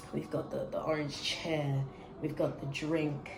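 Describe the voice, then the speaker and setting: Animated in tone, a woman speaks amid noticeable background noise and audible room echo. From Australia. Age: 20s. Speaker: vlogger. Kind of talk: casual chat.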